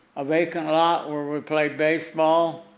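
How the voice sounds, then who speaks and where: Amid audible room echo, a man with a fairly high voice speaks at a very slow pace. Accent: American. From US Upper Midwest, western North Dakota. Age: 80s+. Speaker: war veteran and donor. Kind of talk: prepared speech. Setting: city council meeting.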